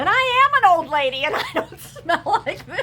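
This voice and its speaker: A woman speaks in a raised, projected voice at a moderate pace, her pitch swinging very widely. Noticeable background noise runs underneath. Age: 60s. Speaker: scented wax reviewer and seller. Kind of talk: casual chat. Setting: home, seated in a glider chair. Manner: animated.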